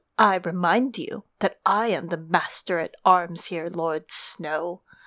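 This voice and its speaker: A female-sounding voice in a put-on character voice speaks at middle pitch and a fairly slow pace on a very clean recording with a silent background. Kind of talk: formal, haughty. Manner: sharp, cold.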